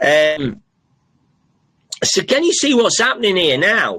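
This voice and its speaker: With lively intonation, a man speaks at a high pitch for a man. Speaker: podcast host. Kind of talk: live solo podcast monologue. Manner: halting, many fillers; slow, deliberate.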